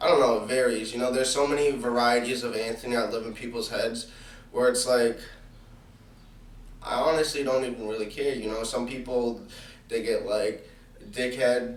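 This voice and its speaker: With monotone, flat intonation and long, frequent pauses, a man of medium pitch speaks at a moderate pace amid audible room echo. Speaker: podcast host. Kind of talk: solo monologue podcast. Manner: casual, many fillers.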